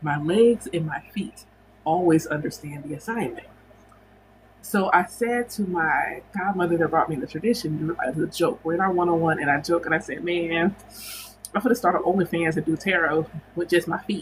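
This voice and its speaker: Noticeable background noise sits behind a woman with a fairly low pitch. She speaks at a moderate pace with ordinary pitch variation. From United States. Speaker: spiritual teacher and livestream host. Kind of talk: casual livestream chat. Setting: livestream.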